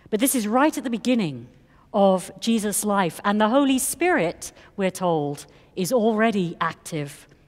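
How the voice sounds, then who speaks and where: A woman with a non-native accent speaks at a moderate pace with medium pitch and very wide pitch swings. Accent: foreign accent, non-American. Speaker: priest. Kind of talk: sermon. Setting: church. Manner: formal.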